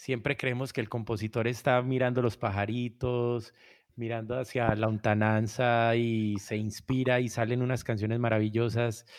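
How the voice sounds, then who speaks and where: A man speaks fairly slowly in a plain, everyday voice at medium pitch. His intonation is fairly even, and the background is quiet. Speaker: musician and music producer. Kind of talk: interview.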